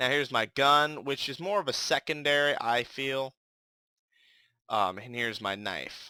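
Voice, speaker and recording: A man mumbles in a bright, sharp tone, recorded very cleanly against a silent background with a dry, close sound and no echo. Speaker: gaming youtuber. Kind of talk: gameplay commentary. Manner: mumbling; casual, hesitant with fillers.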